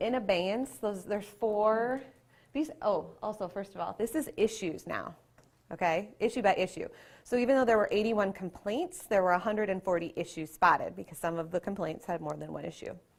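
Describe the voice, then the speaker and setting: In a very clean recording with a silent background, a woman with an ordinary speaking voice talks at a medium pitch and a fairly quick pace with lively intonation. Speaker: state education agency staff presenter. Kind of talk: conference presentation. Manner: casual, hedging with fillers.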